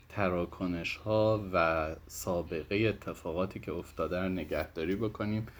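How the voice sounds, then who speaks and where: Very deep, low male voice at a fairly slow pace, with fairly even intonation, on a very clean recording with a silent background. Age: 30s. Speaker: fintech company co-founder and manager. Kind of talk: interview.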